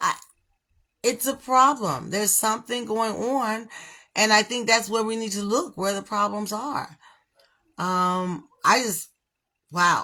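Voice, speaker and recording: A woman with a fairly high, bright and sharp voice speaks at a fairly slow pace in an animated tone. She leaves long, frequent pauses, and the recording is very clean with a silent background. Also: ordinary pitch variation. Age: 60s. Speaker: livestream commentator. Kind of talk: casual commentary monologue.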